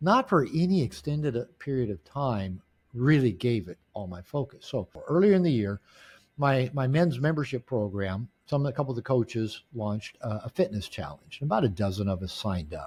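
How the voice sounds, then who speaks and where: A man's somewhat breathy voice of medium pitch moves through very wide pitch swings. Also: moderate pace. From US Pacific Northwest, Seattle area. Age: 60s. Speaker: author and men's coach. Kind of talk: interview. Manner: halting, frequent word repetitions.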